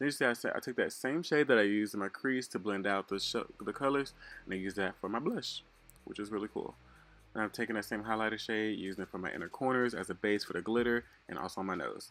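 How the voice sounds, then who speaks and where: Music plays in the background as a man with a fairly low pitch speaks at a very fast pace with ordinary pitch variation. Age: 20s. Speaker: male beauty influencer. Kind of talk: makeup tutorial voiceover. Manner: casual, chatty.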